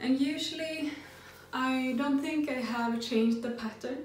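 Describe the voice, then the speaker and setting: A woman's fairly slow, fairly even-toned speech, with light background noise and audible room echo. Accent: non-native. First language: not English. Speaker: sewing pattern designer. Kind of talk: tutorial. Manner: hesitant, with filler sounds. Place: home room.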